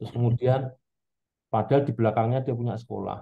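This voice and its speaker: A man's intonation stays fairly even, with a quiet background behind him. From Central Java, Indonesia. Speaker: audience member. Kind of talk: question in discussion. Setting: video call. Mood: calm, reflective concern. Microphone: video call.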